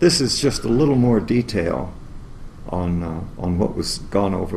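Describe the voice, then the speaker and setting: A man with an American accent, with audible room echo and noticeable background noise. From US South, New Orleans, Louisiana. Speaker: engineering lecturer. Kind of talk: lecture. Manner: halting, many filler words.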